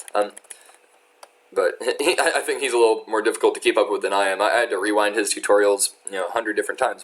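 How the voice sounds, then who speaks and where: The speaker goes at a fairly quick pace against noticeable background noise. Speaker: tutorial creator. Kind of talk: tutorial. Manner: fast; halting.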